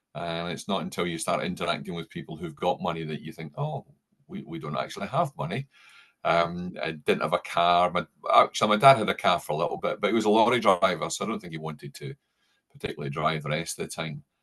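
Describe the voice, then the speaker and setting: Very fast and very deep, a man's low-pitched voice moves with ordinary pitch variation in a dry, close sound with no echo. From Scotland, Paisley near Glasgow. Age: 60s. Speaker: former air force member and town councillor. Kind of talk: interview conversation. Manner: halting, many fillers.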